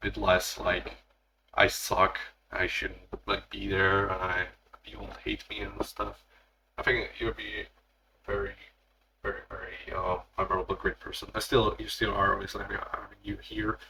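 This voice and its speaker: A man with a Slavic accent, big swings in loudness, and long, frequent pauses. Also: moderate pace. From Slavic country. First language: Slavic language. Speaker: content creator. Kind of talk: solo podcast monologue. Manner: halting.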